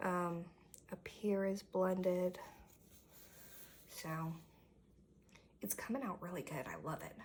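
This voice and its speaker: In a quiet, raspy put-on character voice, a woman speaks at medium pitch and a fairly slow pace with ordinary pitch variation. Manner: speaking very quietly.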